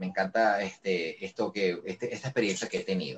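Music plays in the background as a man speaks at a very fast pace. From Venezuela, Caracas. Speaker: voice actor. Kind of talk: interview. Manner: calm, friendly.

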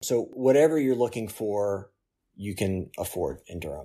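This man speaks with an American accent. His tone is dark and mellow. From Oklahoma City, Oklahoma. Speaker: surgical resident. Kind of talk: interview.

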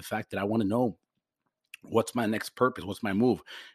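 A man with an American accent talks at a very fast pace with fairly even intonation. The sound is dry and close with no echo, and the background is quiet. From Forest Park, US. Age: 40s. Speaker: podcaster in addiction recovery. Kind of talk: personal monologue. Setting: home microphone recording. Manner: halting.

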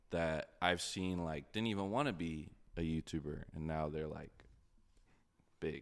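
A man's very deep, low voice with ordinary pitch variation, a fairly slow pace, and long, frequent pauses. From moved around: Kansas, Oklahoma, England, Houston. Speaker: YouTuber. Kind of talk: casual chat. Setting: remote outdoor setup in LA.

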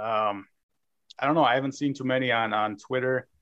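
A man speaks at a fairly quick pace in an American accent, with ordinary pitch variation. It is an unremarkable speaking voice. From Minnesota, near Minneapolis. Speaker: trading card collector. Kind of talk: casual interview.

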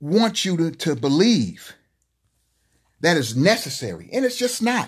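A man's high-pitched voice with lively intonation over a quiet background. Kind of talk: angry rant. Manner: indignant, emphatic, forceful.

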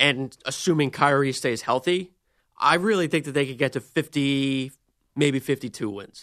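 Here is an ordinary speaking voice at a moderate pace with ordinary pitch variation. The background is quiet. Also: man, fairly high pitch for a man. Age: 20s. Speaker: sports video producer. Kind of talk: casual chat.

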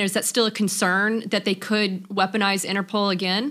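A woman with a plain, everyday voice speaks at a fairly high pitch and a fairly quick pace. Her intonation is fairly even, and the recording is very clean with a silent background. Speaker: podcast host. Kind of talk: interview.

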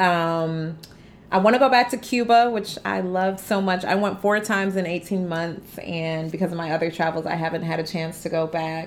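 A woman's normal speaking voice at medium pitch, with an American accent, ordinary pitch variation and a moderate pace. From US Midwest, Detroit. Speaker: travel entrepreneur. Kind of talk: interview.

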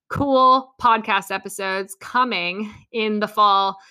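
A plain, everyday voice with ordinary pitch variation comes through on a very clean recording with a silent background. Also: woman. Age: 20s. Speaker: podcast host, dietitian and personal trainer. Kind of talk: casual solo podcast monologue. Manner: chatty with frequent fillers and laughs.

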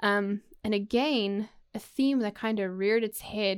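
A woman with a South African accent, medium in pitch, on a very clean recording with a silent background. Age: 30s. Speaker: podcast host. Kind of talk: personal monologue. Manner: halting, many fillers.

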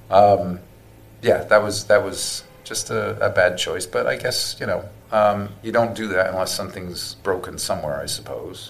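Someone speaks at a moderate pace with an American accent. Noticeable background noise runs under the voice. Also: man. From South Wales. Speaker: guest, cancer patient, former repo man. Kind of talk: casual interview conversation.

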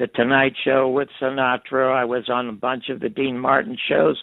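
At a moderate pace, a man speaks at medium pitch in a plain, everyday voice. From Canada, Toronto. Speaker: TV producer and writer. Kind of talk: interview. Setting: phone call.

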